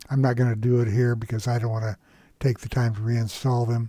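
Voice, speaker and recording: A man's voice sits at a medium pitch. The recording is very clean and the background is silent. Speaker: stock market educator. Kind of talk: screen-share tutorial. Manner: halting, many fillers.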